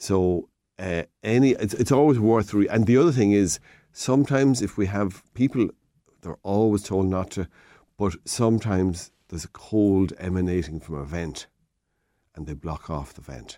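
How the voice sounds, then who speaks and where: A man with an Irish Midlands accent speaks at a moderate pace in a fairly low pitch, his dark, mellow tone carried by lively intonation and big swings in loudness. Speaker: hardware shop owner giving DIY advice. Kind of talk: radio phone-in advice.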